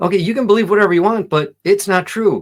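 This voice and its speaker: Vocal fry runs through the speech on a very clean recording against a silent background. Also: man. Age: 60s. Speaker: vegan commentary video host. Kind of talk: reaction commentary. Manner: casual, self-interrupting.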